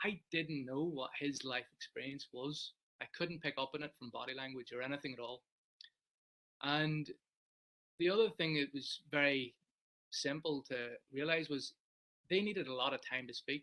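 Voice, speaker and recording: With an Irish accent, a man speaks at a moderate pace in a fairly high pitch and a bright, sharp tone, showing ordinary pitch variation and long, frequent pauses. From Ireland. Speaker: sports psychologist. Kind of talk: webinar talk. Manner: loud.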